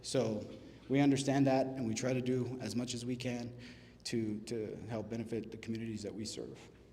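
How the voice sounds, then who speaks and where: At a fairly quick pace, a man with a medium pitch and a dark, mellow tone speaks in a monotone, flat intonation, with audible room echo. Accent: American. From Texas, Laredo. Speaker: restaurant business owner. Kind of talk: business presentation. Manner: casual, halting with fillers.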